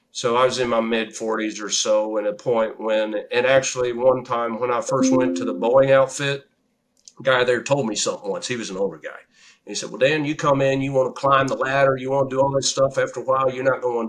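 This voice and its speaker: A man talks at a fairly quick pace with a medium pitch and fairly even intonation. It is an ordinary speaking voice. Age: 60s. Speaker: real estate investor and engineer. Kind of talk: interview. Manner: conversational.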